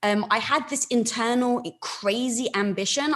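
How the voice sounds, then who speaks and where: A woman speaks with a London accent at a fairly high pitch. Her pitch varies in an ordinary way. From London, England (Greek family). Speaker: entrepreneur. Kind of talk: interview.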